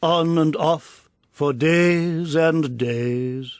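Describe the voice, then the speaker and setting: Here a man does a put-on character voice. It sits at a fairly high pitch. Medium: read story. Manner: flat, unhurried, indifferent.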